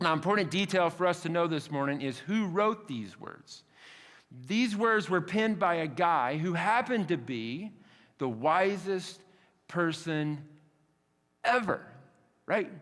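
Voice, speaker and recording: A man with a high pitch and lively intonation speaks at a fairly slow pace. Long, frequent pauses and audible room echo fill the clip. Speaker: pastor. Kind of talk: sermon. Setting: church. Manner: casual, conversational.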